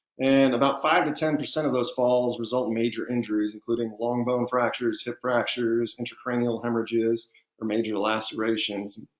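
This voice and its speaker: This voice has a slight Southern US accent. The pace is fairly quick. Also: man. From Texas. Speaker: physician and underwriting medical specialist. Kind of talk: webinar lecture. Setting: online webinar. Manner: casual, with filler words.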